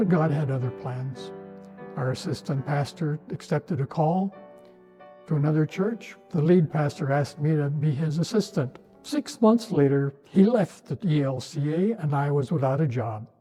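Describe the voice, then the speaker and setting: Music plays in the background as a man with a fairly high voice speaks at a moderate pace, his intonation lively. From northern Minnesota, USA. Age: 80s+. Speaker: retired Lutheran pastor; war veteran. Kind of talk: personal testimony to camera.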